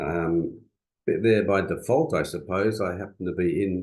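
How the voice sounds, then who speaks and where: A man speaks in a very deep, low pitch with an Australian accent. His intonation is fairly even. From Western Australia, rural bush. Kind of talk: seminar talk. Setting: video call. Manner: hesitant, many fillers.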